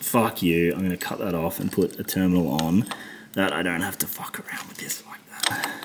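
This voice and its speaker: Against noticeable background noise, a man with a very deep, low pitch speaks fairly quickly with fairly even intonation and big swings in loudness. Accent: Australian. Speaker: motorcycle mechanic. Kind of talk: tutorial. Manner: frustrated muttering with heavy swearing.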